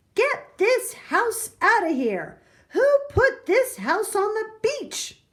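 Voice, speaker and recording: A woman's put-on character voice, squeaky and extremely high, with lively intonation at a very slow pace. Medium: read story. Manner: bossy, scoffing.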